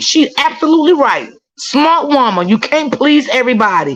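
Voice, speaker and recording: Her high voice makes very wide pitch swings in an animated tone, and the woman keeps a moderate pace at a very even loudness. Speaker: fellow content creator. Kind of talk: casual live stream chat.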